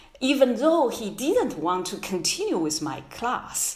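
A woman speaks with a Chinese accent and very wide pitch swings. Noticeable background noise and audible room echo fill the recording. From China. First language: Mandarin Chinese. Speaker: history professor. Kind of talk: interview. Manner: halting.

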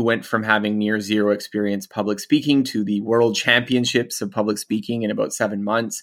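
A man with a Canadian accent speaks in a normal speaking voice at a medium pitch and a fairly quick pace, on a very clean recording with a silent background. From Canada. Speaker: author. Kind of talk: interview.

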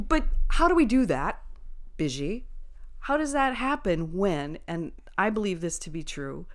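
A woman's voice with very wide swings in pitch. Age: 50s. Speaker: podcast co-host. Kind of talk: casual chat. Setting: home spare bedroom recording.

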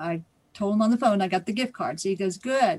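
A woman at medium pitch with a Midwestern American accent, against a quiet background. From Ohio. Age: 60s. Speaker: scam victim. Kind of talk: testimony.

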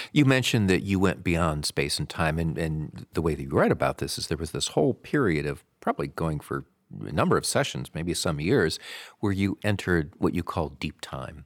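Lively intonation and vocal fry mark a man's very deep, low pitch, recorded very clean with a silent background and a dry, close sound with no echo. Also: moderate pace. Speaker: radio host. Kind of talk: scripted intro and interview.

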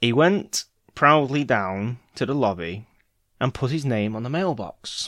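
The background stays quiet. Someone does plain reading aloud.

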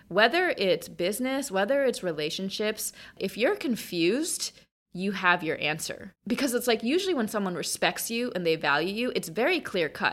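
At a moderate pace, a woman talks in a plain, everyday voice. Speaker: founder and speaker on women's finance. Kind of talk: casual interview chat.

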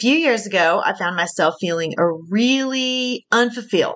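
Putting on a character voice in a strong Southern US accent, a woman speaks at a moderate pace, raspy and medium-pitched, with lively intonation.

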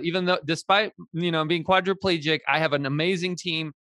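Talking at a fairly quick pace, a man with an American accent has a high pitch. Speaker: podcast host and real estate broker. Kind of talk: interview. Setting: live stream.

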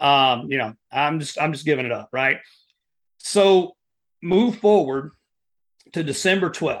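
A fairly high-pitched man with an Appalachian accent, lively intonation, a fairly slow pace and long, frequent pauses. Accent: Appalachian Southern US. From US South, Southeast Kentucky (Appalachia). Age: 40s. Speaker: endurance athlete and Air Force veteran. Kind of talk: casual interview conversation. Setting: in-person podcast studio.

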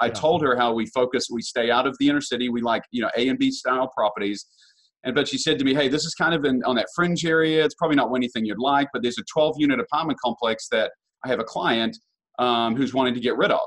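Talking at a very fast pace, a man with a New Zealand accent uses ordinary pitch variation. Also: medium pitch for a man. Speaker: real estate investor. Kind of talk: interview. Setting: podcast.

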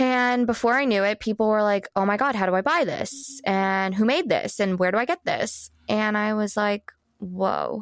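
A woman with an unremarkable speaking voice talks at a moderate pace and a fairly high pitch, with ordinary pitch variation and a dry, close sound with no echo. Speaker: wardrobe stylist and brand founder. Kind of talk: casual interview chat.

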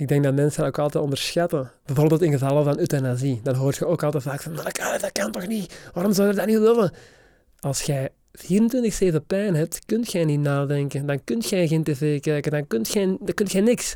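A man's fairly high voice with a dark, mellow tone and lively intonation. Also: moderate pace. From Belgium, Kempen (Dessel). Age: 30s. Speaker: cancer survivor and YouTuber. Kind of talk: interview. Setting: studio.

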